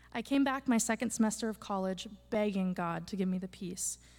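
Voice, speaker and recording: This woman talks at a fairly quick pace in a somewhat breathy voice with ordinary pitch variation. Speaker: college student. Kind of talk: testimony.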